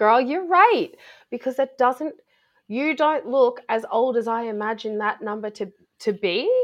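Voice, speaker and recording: A woman speaks in a high pitch with lively intonation. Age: 30s. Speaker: body positivity and mental health advocate. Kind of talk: interview. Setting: remote call from a hotel room. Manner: loud.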